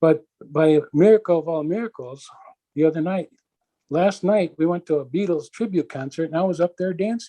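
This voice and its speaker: At a fairly quick pace, a man with a high pitch and dark, mellow tone speaks with ordinary pitch variation in a dry, close sound with no echo. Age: 60s. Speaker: interviewee with visual impairment, inventor. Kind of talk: interview conversation.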